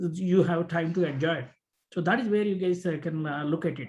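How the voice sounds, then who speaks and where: This man speaks at a fairly quick pace with a high pitch. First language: Telugu. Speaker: business owner mentoring students. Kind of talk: mentoring talk to students. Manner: halting, many fillers.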